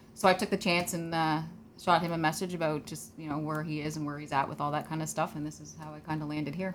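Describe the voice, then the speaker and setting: Very fast and very deep, a woman's voice carries vocal fry and flat, monotone intonation. Its loudness swings widely. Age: 40s. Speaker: first-time karate competitor. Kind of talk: casual interview.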